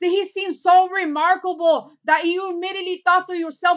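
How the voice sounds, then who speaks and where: Against a quiet background, a woman with an extremely high pitch talks at a moderate pace with ordinary pitch variation. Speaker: actor doing an audition monologue. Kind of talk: dramatic monologue, courtroom closing argument. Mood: intense, indignant. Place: home room. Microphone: webcam.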